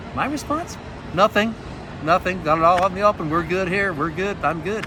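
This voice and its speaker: With a Pacific Northwest accent, a high-pitched man speaks in a raised, projected voice at a fairly quick pace, his tone animated and his pitch variation ordinary, over noticeable background noise. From US Northwest (Montana). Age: 60s. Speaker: author and abuse survivor speaker. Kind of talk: testimony. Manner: conversational, animated.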